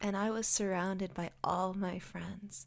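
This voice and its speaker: A woman speaks in a normal speaking voice at medium pitch. Her pace is fairly slow. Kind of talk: ASMR girl talk. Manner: soft-spoken, relaxing.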